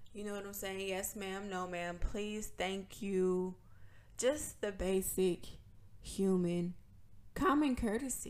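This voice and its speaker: A woman speaks very slowly at a medium pitch with ordinary pitch variation and big swings in loudness, with audible echo from the room. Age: 20s. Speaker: podcast host. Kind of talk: casual monologue.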